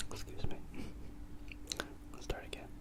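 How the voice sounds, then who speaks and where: A man whispering over noticeable background noise. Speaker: ASMR creator. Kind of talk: whispered ASMR reading. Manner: whispered, soft-spoken.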